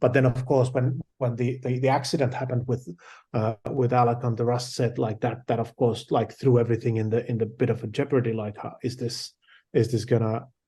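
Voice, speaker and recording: A man with a Finnish accent talks at a fairly quick pace in a medium pitch, his dark, mellow, somewhat breathy voice held to a monotone, flat intonation. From Finland. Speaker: film director. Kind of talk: interview. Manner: halting.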